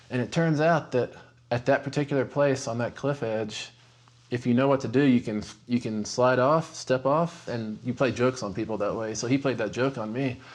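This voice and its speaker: A man with a West Texas accent talks at a moderate pace and a medium pitch. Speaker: horror novelist. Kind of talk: interview storytelling; scripted narration.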